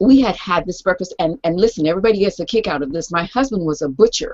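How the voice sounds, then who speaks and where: A woman talks in an American accent. Her pitch swings very widely. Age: 70s. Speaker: raw food advocate. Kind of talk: interview.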